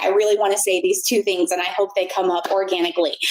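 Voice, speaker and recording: A woman speaks in a confident tone at a medium pitch. Her intonation stays fairly even over noticeable background noise. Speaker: blogger and former university instructor. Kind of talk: casual interview chat. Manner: loud, confident; clearly enunciated.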